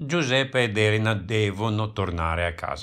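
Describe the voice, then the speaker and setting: A man's fairly low voice, with ordinary pitch variation, comes through a very clean recording against a silent background. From Italy. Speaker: audiobook narrator. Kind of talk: reading aloud. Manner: slow; clear enunciation.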